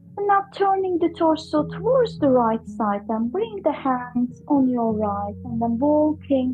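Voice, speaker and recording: Very slow speech from a woman in a calm, gentle tone, music playing behind her. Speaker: yoga and breathwork teacher. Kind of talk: guided yoga class instruction. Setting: online class recording. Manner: calm, gentle, instructional.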